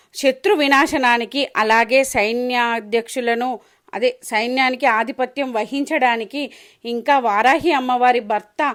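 On a very clean recording with a silent background, a woman with a high pitch speaks with fairly even intonation. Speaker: devotional vlogger. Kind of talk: devotional tutorial and storytelling.

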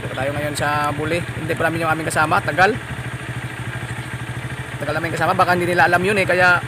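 The speech comes at a very fast pace with fairly even intonation, in a dry sound with no echo and noticeable background noise. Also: man. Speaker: vlogger. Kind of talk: casual vlog chat. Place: street. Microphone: phone near.

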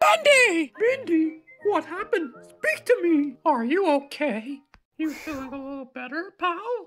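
The put-on character voice is extremely high in pitch and moves at a fairly slow pace. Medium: dub. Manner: upbeat.

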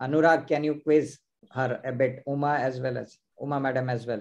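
In a monotone, flat intonation, the man moves along at a fairly quick pace. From India. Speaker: ophthalmologist and quiz host; quiz host. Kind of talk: live online quiz hosting. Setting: video call. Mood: cheerful, smiling. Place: home room. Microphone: video call.

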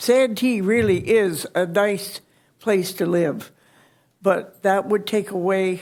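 A woman speaks at a very slow pace and a medium pitch. Her intonation stays fairly even. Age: 90s. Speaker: resident speaking at public comment. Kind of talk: public comment testimony. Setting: city council meeting. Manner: halting.

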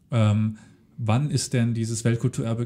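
In a very clean recording with a silent background, a man talks at a moderate pace and a medium pitch, his dark, mellow tone somewhat breathy. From Saarland, Germany (Völklingen). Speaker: history podcast host. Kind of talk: interview. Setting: on location at former steelworks heritage site.

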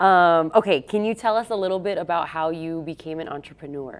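At a fairly quick pace, a woman with fairly low pitch and ordinary pitch variation speaks in an ordinary speaking voice. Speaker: podcast host. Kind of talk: casual interview chat. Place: gym. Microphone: lapel.

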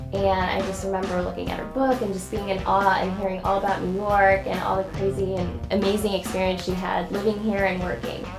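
Over clear music in the background, a woman with an American accent talks at a fairly quick pace with hardly any pauses. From Ohio, USA. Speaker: model. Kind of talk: interview answer. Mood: cheerful, warm. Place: studio.

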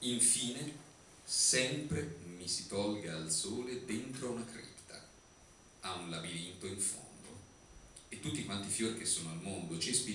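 There is light background noise and audible room echo. A man speaks at a moderate pace. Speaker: writer. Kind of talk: poetry reading. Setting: live before theatre audience. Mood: ironic, theatrical. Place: stage.

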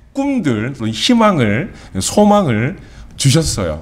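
Here a man is speaking. His pitch sits fairly high. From South Korea. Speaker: pastor. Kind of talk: sermon. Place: church. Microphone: lapel.

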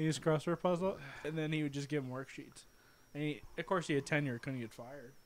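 A man is speaking. His pace is fairly quick and his intonation fairly even. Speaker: podcast co-host. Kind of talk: casual chat. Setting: live stream. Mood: relaxed, joking. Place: home room. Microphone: handheld.

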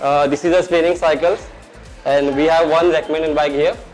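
Faint music plays in the background as a man speaks at a moderate pace in a high pitch. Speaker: gym trainer or manager. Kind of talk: walk-through tour presentation. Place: gym. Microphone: lapel.

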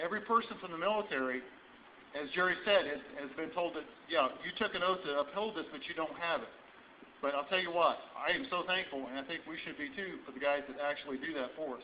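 Over light background noise, a speaker with an American accent talks at a very fast pace, with ordinary pitch variation and big swings in loudness. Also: man. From Indiana, US Midwest. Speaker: sheriff candidate. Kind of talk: rally speech. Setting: rally audience, live event. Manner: earnest, fiery. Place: hall. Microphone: camera far.

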